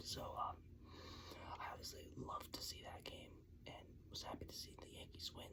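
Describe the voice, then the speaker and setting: A man whispers in an American accent over noticeable background noise. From New York. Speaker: ASMR sports channel host. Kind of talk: whispered ASMR ramble about sports venues. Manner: whispered, casual, conversational.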